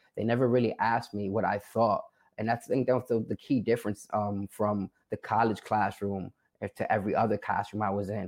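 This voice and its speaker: A man with a New York accent speaks at a fairly low pitch in a monotone, flat intonation. His pace is fairly quick. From New York, South Bronx. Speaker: formerly incarcerated college graduate, documentary subject. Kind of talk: interview. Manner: hesitant, many filler words.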